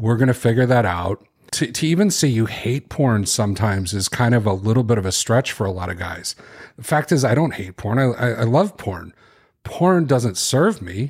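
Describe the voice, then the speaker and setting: The voice is somewhat breathy, with lively intonation and a Chicago accent. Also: man, medium pitch for a man, moderate pace, very clean recording, silent background. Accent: Chicago, general American. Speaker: author and podcaster. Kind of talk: interview, conversational.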